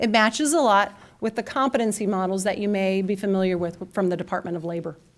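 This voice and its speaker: A woman's medium-pitched voice at a very fast pace, with ordinary pitch variation, in a very clean recording with a silent background. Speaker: conference speaker on career and technical education. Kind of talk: conference presentation.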